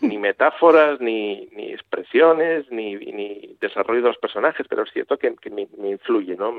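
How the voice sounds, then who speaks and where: Here a man talks at a moderate pace. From Asturias, Gijón. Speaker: writer and translator. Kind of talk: interview.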